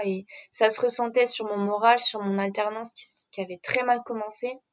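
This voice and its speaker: Fairly high pitch and fairly even intonation in a woman's voice. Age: 20s. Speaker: interviewee sharing a breakup story. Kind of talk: personal testimony. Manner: talkative.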